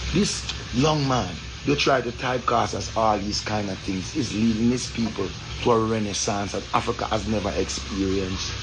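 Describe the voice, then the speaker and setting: A man with a Jamaican accent, fairly low pitch and ordinary pitch variation, in audible room echo with noticeable background noise. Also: moderate pace. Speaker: Rastafarian commentator. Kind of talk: social commentary monologue. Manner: impassioned.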